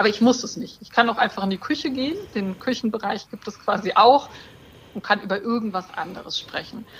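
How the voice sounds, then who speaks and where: A woman with a normal speaking voice and a fairly high pitch talks at a fairly quick pace, showing ordinary pitch variation and big swings in loudness. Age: 40s. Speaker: breast cancer survivor, online community co-founder. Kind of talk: podcast interview.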